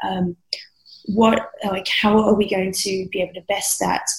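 A woman with an Australian accent speaks at a fairly slow pace, her medium-pitched voice showing vocal fry. Her intonation stays monotone and flat. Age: young. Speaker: SEO specialist. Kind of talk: interview conversation. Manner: halting, many fillers.

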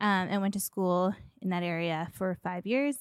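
A woman with an ordinary speaking voice talks at a medium pitch and moderate pace with ordinary pitch variation, on a very clean recording with a silent background. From western Canada (Edmonton, Alberta). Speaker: marketing agency founder. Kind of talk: interview conversation.

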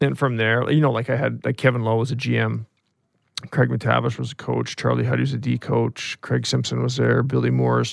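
A man speaks with a Canadian accent. His pace is fairly quick. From British Columbia, Canada (Interior). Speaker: retired hockey player. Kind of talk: interview.

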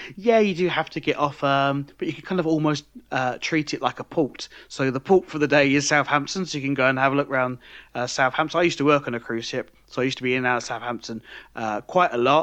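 A British-accented man speaks at a very fast pace in a fairly high pitch, and his pitch varies in an ordinary way. The background is quiet. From UK. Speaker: podcast co-host. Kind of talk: casual chat.

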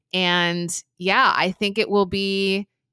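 Recorded very cleanly with a silent background and a dry, close sound with no echo, a woman talks with an American accent. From New Jersey. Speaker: entrepreneur. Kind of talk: interview.

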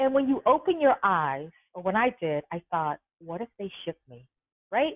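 A woman with a medium-pitched voice swings very widely in pitch. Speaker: writer and advocate for incarcerated women. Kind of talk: interview. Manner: articulate.

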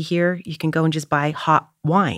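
A woman with a Canadian accent talks at a moderate pace in a fairly low pitch. It is a normal speaking voice. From Canada, Toronto. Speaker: actress. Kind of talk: casual chat.

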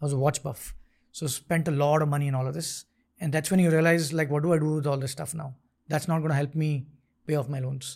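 Very fast and somewhat breathy, the voice keeps a monotone, flat intonation on a very clean recording with a silent background. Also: man, fairly high pitch for a man. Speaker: tech startup founder and CEO. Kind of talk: interview conversation. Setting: studio.

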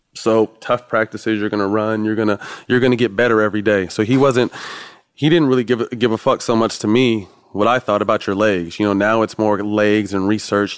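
A man with an American accent talks very fast at a fairly low pitch with fairly even intonation. The sound is dry and close with no echo. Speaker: former NBA player. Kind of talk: casual chat. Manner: soft-spoken; relaxed.

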